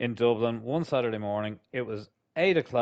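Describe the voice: A quiet setting behind plain reading aloud.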